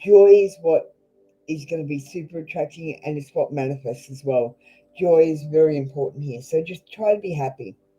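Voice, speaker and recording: Over music in the background, someone speaks at a moderate pace with an Australian accent. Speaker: tarot reader. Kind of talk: live tarot reading stream. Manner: blunt, casual.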